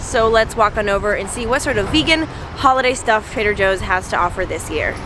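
Noticeable background noise sits behind a woman talking at a fairly quick pace. Her pitch varies in an ordinary way, and the sound is dry with no echo. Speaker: vlogger. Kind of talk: casual vlog chat. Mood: cheerful, then angry and upset. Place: street. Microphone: phone near.

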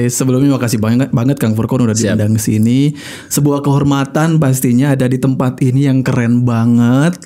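A man talks at a fairly quick pace with hardly any pauses. His loudness stays very even and his intonation fairly even. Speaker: radio broadcaster and speaker; podcast guest. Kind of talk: casual chat. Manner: calm, not fiery. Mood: calm, reflective. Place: studio. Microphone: studio mic.

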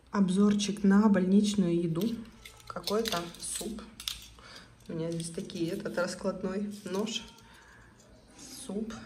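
Quietly and at a very slow pace, a woman speaks at a medium pitch with fairly even intonation and long, frequent pauses over light background noise. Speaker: family vlogger. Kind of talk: casual vlog talk. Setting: hospital room. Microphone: phone near.

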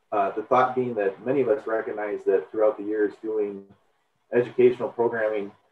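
A man talks at a fairly quick pace in a monotone with flat intonation. Audible room echo and light background noise surround him. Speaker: extension educator, webinar host. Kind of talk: webinar welcome introduction. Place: home room.

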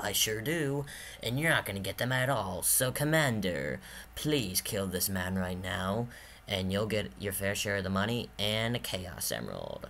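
A man speaks at a moderate pace in a fairly low voice, with very wide pitch swings. Background noise is clearly audible. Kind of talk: amateur home-movie voice acting. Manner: smug, taunting.

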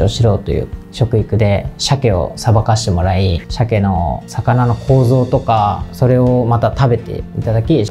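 Clear music in the background behind a man at a fairly slow pace, with ordinary pitch variation. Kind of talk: interview answer. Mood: calm, polite, earnest. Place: office.

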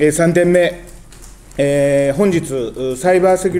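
Moderate-paced speech from a man. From Japan, Osaka. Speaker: politician. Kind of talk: press conference. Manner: formal. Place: meeting room. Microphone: podium.

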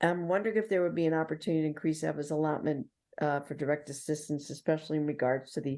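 A woman with a New York accent, very deep and low in pitch, her tone dark and mellow, against a quiet background. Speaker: city council member. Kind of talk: public meeting questions.

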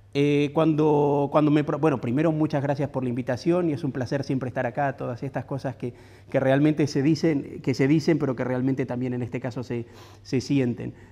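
Against a quiet background, a man speaks fairly quickly at a fairly high pitch with fairly even intonation. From Argentina. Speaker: architecture critic and professor. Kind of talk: lecture. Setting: stage with audience. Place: hall. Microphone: lapel.

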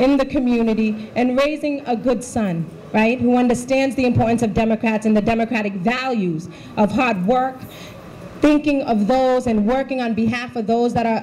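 A high-pitched woman at a moderate pace, ordinary pitch variation, light background noise. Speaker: politician giving remarks. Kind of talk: campaign speech. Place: hall. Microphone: handheld.

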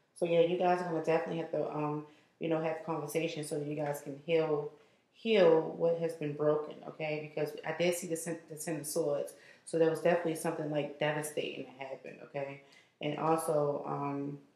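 In a room with audible echo, a woman with a very deep, low pitch and a dark, mellow tone talks at a fairly quick pace in a monotone, flat intonation. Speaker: card reader. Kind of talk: casual reading commentary to viewers. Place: kitchen. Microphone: phone near.

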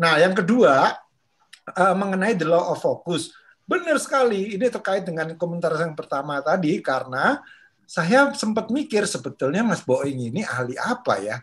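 Pitched high with very wide swings, a man talks at a moderate pace against a quiet background. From Indonesia, Madiun, East Java; East Java, Indonesia. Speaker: discussion group moderator. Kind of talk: online book discussion. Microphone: webcam.

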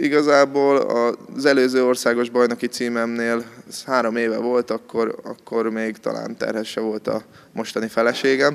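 The speaker talks at a fairly slow pace. The intonation is a flat monotone. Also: man. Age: 20s. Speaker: judo athlete. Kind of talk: interview. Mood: calm, modest, slightly shy. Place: gym. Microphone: handheld.

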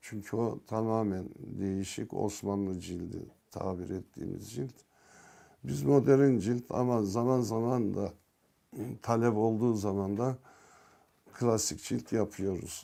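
A man speaks very slowly. His tone is dark and mellow. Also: fairly low pitch for a man, ordinary pitch variation. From Turkey, Ankara (from Yozgat). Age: 60s. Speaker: bookbinder. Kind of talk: interview monologue. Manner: hesitant, with fillers.

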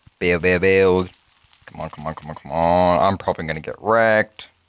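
With ordinary pitch variation, a man talks in a very deep, low voice. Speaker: gaming YouTuber. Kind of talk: gameplay commentary. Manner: fast; animated.

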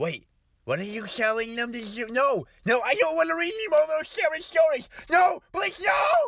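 Shouting in a put-on character voice, the speaker uses a fairly high pitch with very wide pitch swings at a moderate pace. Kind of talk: comedic story reading. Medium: comedy sketch. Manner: panicked, exaggerated.

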